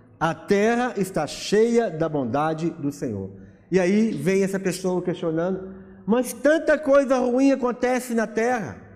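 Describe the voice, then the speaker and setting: A man with a Brazilian accent speaks at a fairly slow pace, his high pitch rising and falling in lively intonation. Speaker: pastor. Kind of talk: sermon, preaching to a congregation. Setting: church. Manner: emphatic, rhetorical, rising and fervent; conversational, explaining with questions and repetition.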